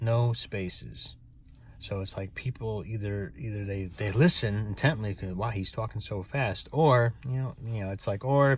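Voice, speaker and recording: At a moderate pace, a man with a fairly low, somewhat breathy voice speaks with ordinary pitch variation in a dry sound with no echo. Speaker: writer and author. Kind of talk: casual talk to camera. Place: car. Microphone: phone near.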